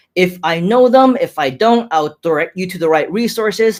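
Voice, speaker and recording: With an American accent, a man speaks at a moderate pace in a high voice, his intonation lively. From grew up in the US, Hong Kong-born. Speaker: online marketing entrepreneur, live streamer. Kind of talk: live stream chat reading comments. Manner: animated.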